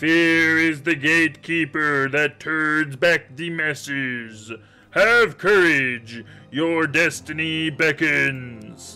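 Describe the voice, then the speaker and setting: Faint music plays in the background as a man does a put-on character voice. His pitch is fairly high and his pace very slow. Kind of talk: reading game dialogue aloud during a let's play. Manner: mysterious, beckoning, solemn.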